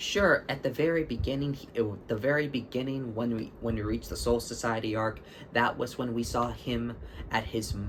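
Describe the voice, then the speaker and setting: A man's voice at medium pitch against noticeable background noise. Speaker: anime fan commentator. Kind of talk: casual talk to camera. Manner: stutter.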